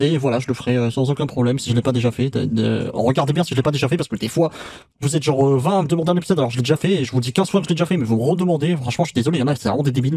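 A man's somewhat breathy voice with a dark, mellow tone, ordinary pitch variation and a very fast pace, in dry sound with no echo over a quiet background. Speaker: reaction video creator. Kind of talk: casual vlog chat. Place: home room. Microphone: studio mic.

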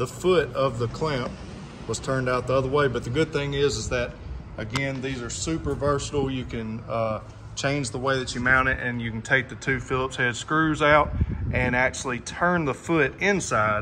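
A man talks with fairly even intonation. Noticeable background noise runs under his voice. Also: moderate pace. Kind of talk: tutorial. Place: garage. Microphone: phone near.

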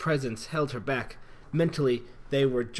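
In a natural voice, the passage is read aloud.

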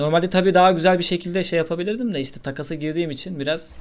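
A man's animated, very fast delivery. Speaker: gaming YouTuber. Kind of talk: gameplay commentary.

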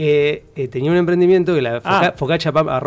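A man talks at a fairly slow pace. His intonation stays fairly even. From Argentina, San Nicolás (Buenos Aires province); Buenos Aires province, Argentina. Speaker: actor. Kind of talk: casual chat. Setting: studio. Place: studio. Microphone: studio mic.

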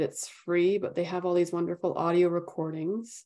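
This woman has a dark, mellow tone and a fairly low pitch. She talks at a moderate pace. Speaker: meditation teacher. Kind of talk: guided meditation.

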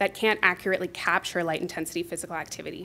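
Her pitch varies in an ordinary way as the woman talks. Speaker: health researcher. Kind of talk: conference presentation. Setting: stage with audience. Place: hall.

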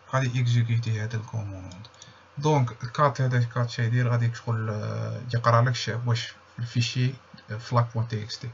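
A somewhat breathy man with an Algerian accent, medium pitch, monotone, flat intonation and a fairly slow pace. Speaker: security researcher. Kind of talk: tutorial walkthrough. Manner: casual.

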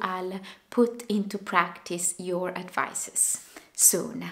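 Very slowly, a woman talks. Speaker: knitting podcaster. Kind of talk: casual vlog chat. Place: home room. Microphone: camera far.

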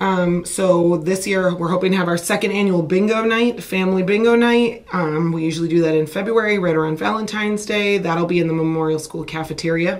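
A woman speaks at a fairly quick pace with hardly any pauses. Her intonation stays fairly even. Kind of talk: interview answer. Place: meeting room. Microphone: camera far.

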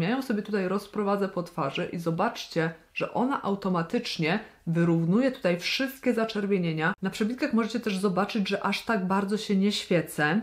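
The woman sounds animated, speaking at a moderate pace. Her pitch is medium, with ordinary variation. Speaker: beauty vlogger. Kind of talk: makeup tutorial and product review.

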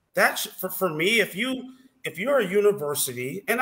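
A man's raised, projected voice with an American accent, high in pitch with very wide swings, at a moderate pace. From Chicago suburbs (La Grange); Illinois. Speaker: former college basketball player; podcast guest. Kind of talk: casual interview chat. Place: home room.

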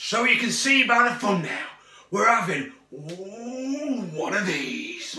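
The speech moves at a very slow pace, with audible room echo and light background noise. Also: man. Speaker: food reviewer vlogger. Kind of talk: casual vlog chat. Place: kitchen. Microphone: phone near.

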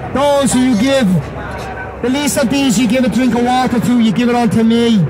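Over noticeable background noise, a man speaks at an extremely high pitch with fairly even intonation. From Ireland. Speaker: street preacher. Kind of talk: street preaching sermon. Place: street. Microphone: handheld.

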